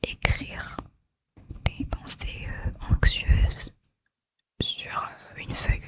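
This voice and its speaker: In a dry, close sound with no echo, a woman whispers at a very slow pace in a calm, gentle tone. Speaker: ASMR creator. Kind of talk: ASMR soft spoken comforting talk to the listener. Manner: soft-spoken, whispered, calm, gentle.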